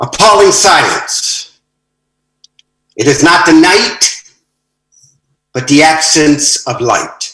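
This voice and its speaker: A man with a fairly high voice and an American accent speaks very slowly. He leaves long, frequent pauses, with ordinary pitch variation. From United States. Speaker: poet. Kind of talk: poetry reading; brief greeting.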